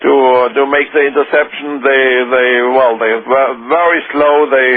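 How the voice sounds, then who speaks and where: A man at a medium pitch and moderate pace, monotone, flat intonation, loudness very even throughout. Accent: German. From Germany. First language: German. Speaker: former government minister. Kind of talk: radio interview. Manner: halting.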